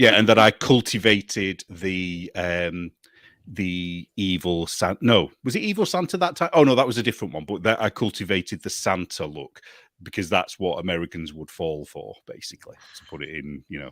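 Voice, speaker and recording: A man with a British accent speaks in a very deep, low voice at a moderate pace, with big swings in loudness. The recording is very clean with a silent background and a dry, close sound with no echo. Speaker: magazine editor. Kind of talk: casual chat.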